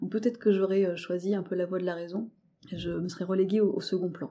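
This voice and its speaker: A woman with a dark, mellow tone speaks at a medium pitch and a fairly quick pace, using ordinary pitch variation. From rural France. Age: 30s. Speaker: interior decoration worker. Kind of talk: testimony. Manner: halting.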